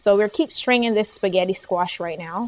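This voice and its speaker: With a slight Barbadian accent, the speaker talks at a moderate pace and shows ordinary pitch variation. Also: woman. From Barbados. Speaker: cooking show host. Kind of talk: cooking demonstration. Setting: studio kitchen. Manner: casual, chatty.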